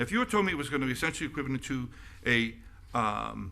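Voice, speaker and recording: At a moderate pace, the voice carries lively intonation, a bright, sharp tone and vocal fry. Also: man. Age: 70s. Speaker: city commissioner. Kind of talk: public meeting remarks. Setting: city commission meeting. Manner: halting, with many restarts.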